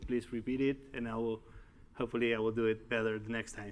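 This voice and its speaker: A man talks with a Uruguayan accent. His voice sits at medium pitch and moves at a moderate pace. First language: Spanish. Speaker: tech executive and conference speaker. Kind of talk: conference talk. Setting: stage with audience. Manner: halting.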